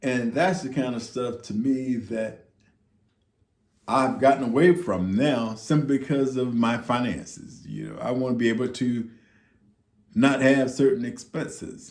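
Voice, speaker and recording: Here a man talks at a medium pitch with ordinary pitch variation. His pace is fairly slow. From US South. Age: 60s. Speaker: retiree vlogger. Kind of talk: casual monologue. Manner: halting, many fillers.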